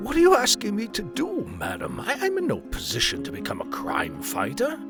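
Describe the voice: Clear music plays in the background behind a put-on character voice. The delivery is fairly quick, with very wide pitch swings. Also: man, high pitch for a man.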